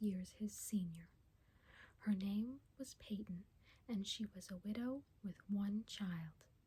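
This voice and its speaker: Someone soft-spoken talks at a fairly slow pace. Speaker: ASMR reader. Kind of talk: soft-spoken ASMR book reading, audiobook-style narration. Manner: soft-spoken, slow, intimate.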